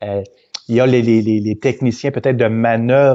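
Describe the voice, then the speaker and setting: A man's medium-pitched voice, fairly quick in pace, with fairly even intonation. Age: 50s. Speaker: events company president. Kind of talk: interview. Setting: live video stream. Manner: halting, many repetitions.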